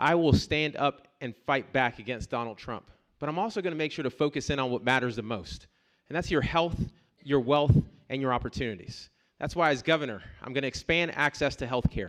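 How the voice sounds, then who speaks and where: A man with a normal speaking voice, fairly high in pitch, at a fairly quick pace. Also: ordinary pitch variation. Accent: American. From US South, Columbus, Georgia. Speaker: political candidate. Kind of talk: campaign speech at forum.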